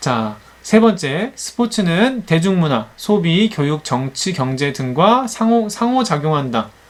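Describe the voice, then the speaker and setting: His pitch swings very widely as the man speaks. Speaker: online teacher. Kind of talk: lecture. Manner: halting, many fillers.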